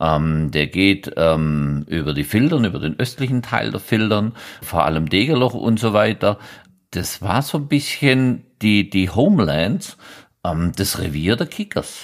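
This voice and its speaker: Fairly low in pitch, a man talks at a fairly slow pace with very wide pitch swings. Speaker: football writer and blogger. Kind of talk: casual chat. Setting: remote call.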